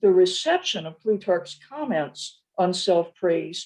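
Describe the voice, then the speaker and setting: A woman speaks very slowly in a dark, mellow tone. Her intonation is lively. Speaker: professor. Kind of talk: academic lecture read partly from a script. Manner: slower than usual, careful consonants; slightly stilted, read from a script.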